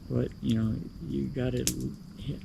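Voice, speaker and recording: A man's very deep, low voice with an American accent, very wide pitch swings and audible room echo. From US Midwest, Chicago. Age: 80s+. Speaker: vlogger. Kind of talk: casual monologue. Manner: halting.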